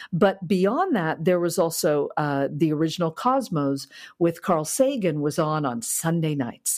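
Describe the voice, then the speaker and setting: With an American accent and a normal speaking voice, a woman talks at a fairly slow pace, her pitch fairly low and her intonation lively, on a very clean recording with a silent background. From US Midwest, Kansas City. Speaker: space systems engineer. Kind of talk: interview conversation.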